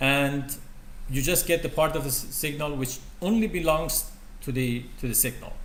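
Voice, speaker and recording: A man talks at a moderate speed amid audible room echo and noticeable background noise. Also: fairly high pitch for a man, ordinary pitch variation. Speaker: university lecturer. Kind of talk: lecture. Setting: lecture room with projector. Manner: loud.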